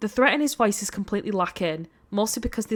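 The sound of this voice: The reading voice is unforced, and its pitch varies in an ordinary way.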